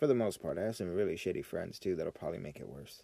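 On a very clean recording with a silent background, a man talks at a very fast pace with a fairly low pitch and vocal fry. His tone is dark and mellow, and his intonation is lively. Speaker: podcast host, military veteran. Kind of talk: casual solo monologue. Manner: unscripted, rambling venting.

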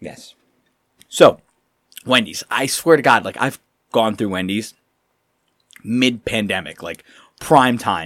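On a very clean recording with a silent background, a man speaks very slowly at a medium pitch, with lively intonation, big swings in loudness and long, frequent pauses. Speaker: podcast co-host. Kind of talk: casual chat. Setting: studio.

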